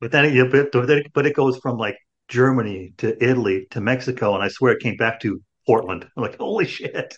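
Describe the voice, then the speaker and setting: Breathy to some degree, a man with an American accent speaks at medium pitch with ordinary pitch variation. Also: moderate pace. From Chicago, US Midwest. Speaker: podcast host. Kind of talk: casual chat. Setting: video call.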